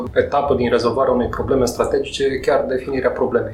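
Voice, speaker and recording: A man talking very fast, with audible room echo and noticeable background noise. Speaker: podcast host. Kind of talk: interview.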